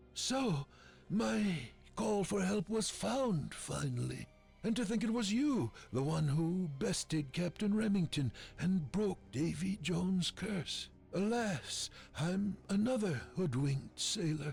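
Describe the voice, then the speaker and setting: A put-on character voice at a middle pitch and fairly slow pace, with clear music in the background. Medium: video game.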